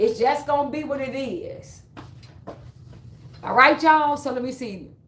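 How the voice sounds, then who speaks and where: A woman with an American accent, high pitch, ordinary pitch variation, an animated tone, a fairly slow pace, and big swings in loudness. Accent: Chicago accent, some hear it as Southern. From Chicago. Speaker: livestreamer and fitness trainer. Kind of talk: casual livestream chat. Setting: live stream.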